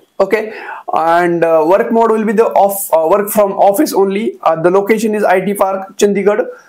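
Speaking with an Indian accent at a moderate pace, a man uses a high pitch, fairly even intonation and very even loudness. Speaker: YouTuber sharing job openings. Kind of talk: tutorial-style informational video. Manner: frequent hesitations with uh. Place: home room. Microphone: lapel.

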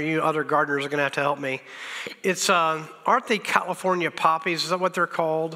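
A high-pitched man's voice with fairly even intonation, music in the background. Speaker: pastor. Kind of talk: sermon. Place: church.

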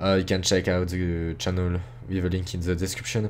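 With a French accent, a man speaks at a fairly quick pace. His pitch is very deep and low. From France. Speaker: YouTuber. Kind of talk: casual address to viewers. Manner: halting.

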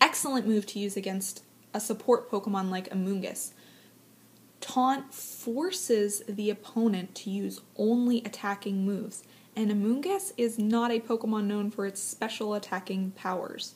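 A woman's somewhat breathy voice, fairly high in pitch, with fairly even intonation and a moderate pace. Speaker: aspiring live esports commentator. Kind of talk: esports live commentary audition.

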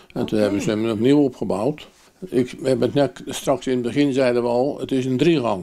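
This man's voice has a dark, mellow tone and ordinary pitch variation. The background is quiet. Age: 80s+. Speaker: miller. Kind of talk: interview answer. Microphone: handheld.

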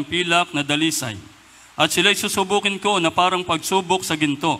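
A man speaks at a moderate pace with ordinary pitch variation. His tone is bright and sharp. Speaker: scripture reader. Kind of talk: reading aloud. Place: church. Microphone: handheld.

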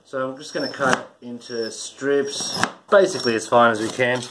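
Noticeable background noise accompanies a man speaking at a moderate pace. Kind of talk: casual cooking tutorial. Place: kitchen.

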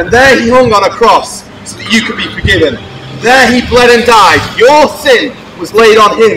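Noticeable background noise accompanies a man talking. He keeps a moderate pace with ordinary pitch variation. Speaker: street preacher. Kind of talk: open-air evangelistic sermon to passers-by. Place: street. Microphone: camera far.

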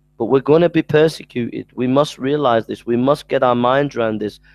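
A man speaks with ordinary pitch variation and a slightly mellow tone, recorded dry and close with no echo.

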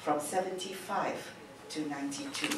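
There is audible room echo and noticeable background noise around a woman's voice. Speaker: emcee introducing the keynote. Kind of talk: formal speaker introduction. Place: hall.

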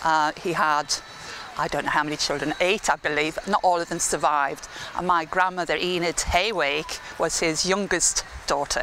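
A woman speaks at a moderate pace with few pauses, her low voice bright and sharp. Her intonation stays fairly even over faint background noise.

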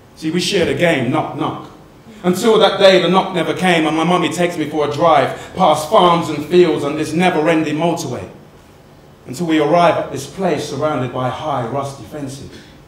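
Ordinary pitch variation and a moderate pace mark this speech, heard with audible room echo. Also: man. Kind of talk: performed poetry monologue. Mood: emotional, yearning. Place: stage.

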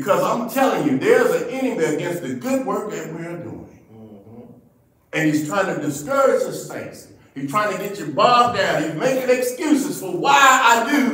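Over a quiet background with audible room echo, a man talks at a moderate pace. His pitch swings very widely and his loudness varies a lot. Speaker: preacher. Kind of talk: sermon. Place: church. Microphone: podium.

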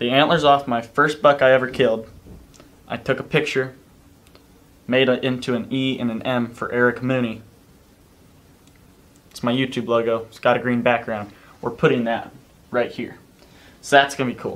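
A man speaks in a monotone, flat way at a moderate pace. He leaves long, frequent pauses. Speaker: vlogger. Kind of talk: casual vlog chat. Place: home room. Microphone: camera far.

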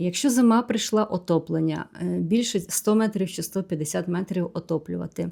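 A woman speaks fairly slowly with a fairly low pitch. Her tone is dark and mellow. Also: very clean recording, silent background. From Ukraine. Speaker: vlogger. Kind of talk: Q&A vlog monologue.

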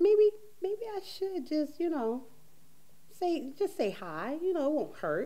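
At a fairly slow pace with long, frequent pauses, a woman speaks at an extremely high pitch with very wide pitch swings and a dark, mellow tone. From Caribbean. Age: 40s. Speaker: talk show host. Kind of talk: casual chat. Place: studio.

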